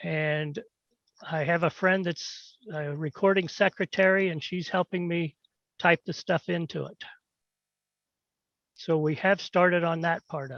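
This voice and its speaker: Over a quiet background, a man with a high pitch and fairly even intonation talks fairly slowly with long, frequent pauses and big swings in loudness, the sound dry and close with no echo. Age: 70s. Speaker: pharmacist. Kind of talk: disciplinary hearing testimony.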